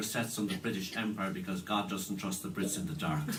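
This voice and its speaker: A man talks at a fairly quick pace with an Irish accent and a fairly low pitch. His pitch variation is ordinary, and there is light background noise. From Ireland. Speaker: musician and musicologist presenting a concert; event host introducing a musician. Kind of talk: stage introduction. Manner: halting, many fillers and repeats. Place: hall. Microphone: camera far.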